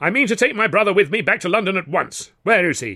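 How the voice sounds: A put-on character voice, bright and sharp in tone, fast-paced with lively intonation. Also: man, high pitch for a man.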